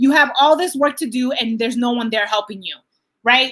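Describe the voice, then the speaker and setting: Loud, high-pitched speech from a woman, bright and sharp in tone, at a moderate pace with ordinary pitch variation. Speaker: life coach. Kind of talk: live Q&A coaching session. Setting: livestream on Facebook and Zoom. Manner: animated.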